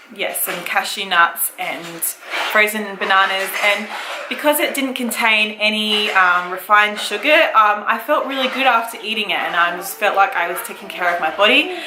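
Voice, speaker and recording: A woman with an Australian accent at a medium pitch and moderate pace, with ordinary pitch variation and noticeable background noise. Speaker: mother of six, family vlogger. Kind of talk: casual talk to camera.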